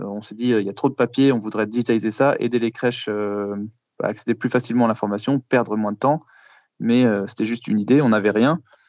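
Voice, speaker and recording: An unremarkable speaking voice, this man's sits at medium pitch and moves at a fairly quick pace with fairly even intonation, recorded very cleanly with a silent background and a dry, close sound with no echo. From France, Paris. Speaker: startup founder. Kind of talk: interview answers.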